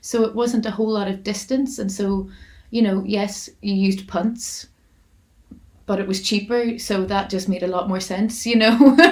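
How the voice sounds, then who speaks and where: In a Northern Irish accent, a woman speaks at a moderate pace with fairly even intonation and a medium pitch. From Armagh-Monaghan border, Northern Ireland. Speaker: folk singer-songwriter. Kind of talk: interview answer. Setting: online video call.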